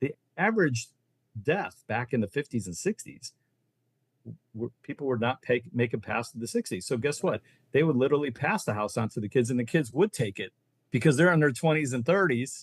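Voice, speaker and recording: A somewhat breathy American-accented voice at a fairly quick pace, with lively intonation and a dry, close sound free of echo. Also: man, medium pitch for a man. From Ohio, US Midwest. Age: 60s. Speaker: reverse mortgage loan officer. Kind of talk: podcast interview. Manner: animated.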